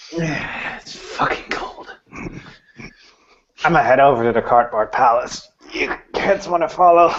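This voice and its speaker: A man puts on a character voice with a fairly high pitch. He goes fairly slowly, with long, frequent pauses. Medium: actual play. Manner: gruff, casual.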